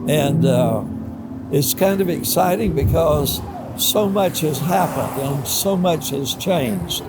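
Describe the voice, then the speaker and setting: A man with an American accent at a very slow pace, fairly high in pitch, with lively intonation over noticeable background noise. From Columbia, South Carolina. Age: 80s+. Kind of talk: interview answer.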